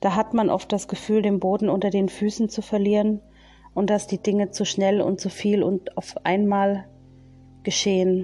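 Music plays behind a woman speaking at a medium pitch. Her intonation is monotone and flat, and her loudness stays very even. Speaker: spiritual medium. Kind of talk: casual monologue; channeling meditation. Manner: slow.

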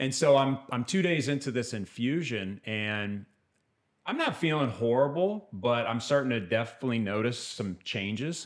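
A man with an American accent talks in a normal speaking voice. His pace is moderate and his intonation lively. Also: medium pitch for a man. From US Midwest, Kansas City, Missouri. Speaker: evangelist, cancer survivor. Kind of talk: testimony.

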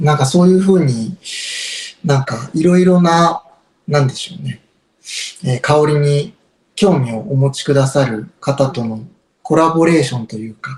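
A man's somewhat breathy, fairly high voice at a moderate pace, with ordinary pitch variation and long, frequent pauses. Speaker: incense shop owner. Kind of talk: casual interview chat.

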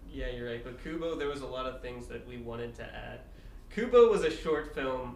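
A man talks at a fairly quick pace, his loudness swinging widely, with noticeable background noise behind him. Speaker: podcast guest. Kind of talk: casual banter.

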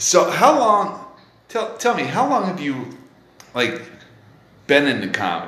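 A man talks at a fairly slow pace with very wide pitch swings. Noticeable background noise is present. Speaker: comedy podcast host. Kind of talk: casual chat interview. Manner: animated, laughing, casual swearing.

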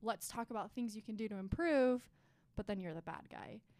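Ordinary pitch variation marks this woman's fairly high voice. She uses a normal speaking voice and keeps a moderate pace. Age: 20s. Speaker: podcast co-host. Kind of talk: casual chat.

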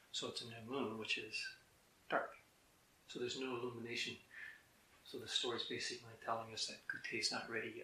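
Talking at a very fast pace, a man leaves long, frequent pauses, and the room echo is audible. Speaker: Zen teacher. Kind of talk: dharma talk.

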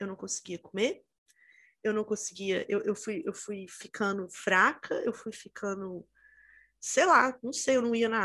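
A woman with a fairly high pitch speaks at a moderate pace in a normal speaking voice, on a very clean recording with a silent background. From Minas Gerais, Brazil (Itabira). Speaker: podcast co-host. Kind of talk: casual chat.

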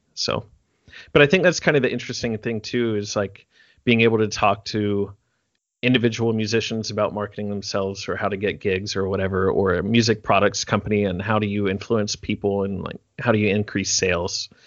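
Fairly quick and fairly low in pitch, a man speaks with fairly even intonation in an unremarkable speaking voice. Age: 30s. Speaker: percussion teacher and performer. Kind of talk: casual chat. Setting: video call.

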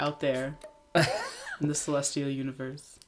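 Very slow speech over noticeable background noise. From Texas. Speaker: podcast co-host, church worker. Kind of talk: casual chat. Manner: animated.

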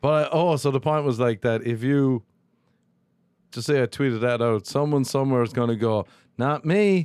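A man with an Irish accent at a moderate pace, ordinary pitch variation and long, frequent pauses, in a very clean recording with a silent background and a dry, close sound with no echo. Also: medium pitch for a man. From Ireland. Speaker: comedian. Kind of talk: casual chat. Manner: rambling.

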